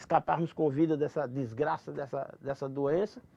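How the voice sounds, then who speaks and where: A man speaks with a Rio Grande do Norte accent. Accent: Northeastern Brazilian (Potiguar). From Mossoró, Rio Grande do Norte, Brazil. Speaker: cordel poet and popular culture master; former community radio announcer, actor. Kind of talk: interview answer.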